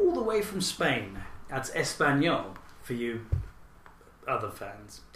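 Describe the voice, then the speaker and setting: A voice with a British accent over noticeable background noise. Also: man. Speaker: podcast co-host. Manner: joking, animated.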